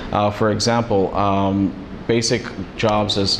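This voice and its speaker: Against noticeable background noise and audible room echo, a man speaks at a fairly low pitch. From US, Los Angeles, California. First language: Spanish. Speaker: immigration paralegal. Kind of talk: interview. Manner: halting, with many fillers.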